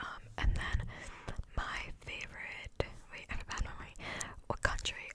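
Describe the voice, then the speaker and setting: Whispering woman with an American accent over noticeable background noise. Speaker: ASMR creator. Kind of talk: ASMR Q&A, casual talk to camera. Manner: whispered, rambling, soft-spoken.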